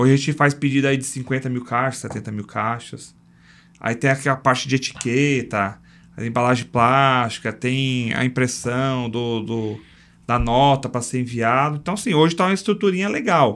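A man at a moderate pace and medium pitch, with an ordinary speaking voice and ordinary pitch variation. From São Paulo, Brazil. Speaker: logistics entrepreneur. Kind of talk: casual interview chat.

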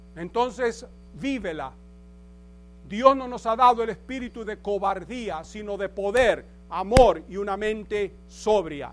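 Very slowly, a man speaks in a high pitch with ordinary pitch variation and big swings in loudness. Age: 70s. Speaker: pastor. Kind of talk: sermon. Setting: church.

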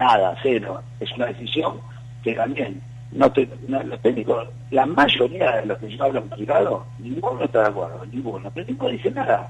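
A man's medium-pitched voice with a Rioplatense accent, fairly even intonation, moderate pace, and big swings in loudness over noticeable background noise. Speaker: football coach and coaches' union activist. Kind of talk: radio interview.

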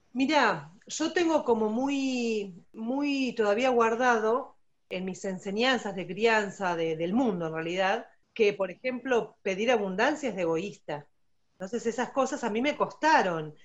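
With an Argentine accent, a woman speaks at a fairly slow pace in a fairly high pitch with lively intonation. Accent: Rioplatense Argentine Spanish. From Argentina. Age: 40s. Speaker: special education teacher. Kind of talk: testimony interview.

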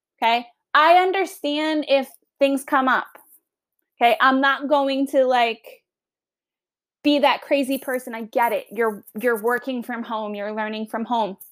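Pausing long and often, a woman with a Long Island accent and a high pitch talks at a fairly slow pace with ordinary pitch variation in a very clean recording with a silent background. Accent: Long Island New York. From Long Island, New York. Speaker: teacher. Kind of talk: class podcast, casual explanation to students. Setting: home recording, dog nearby snoring. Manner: animated, chatty.

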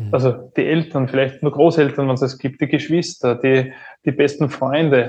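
The man's voice is somewhat breathy, and he speaks at a moderate pace. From Upper Austria. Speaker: entrepreneur and business turnaround consultant. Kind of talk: podcast interview.

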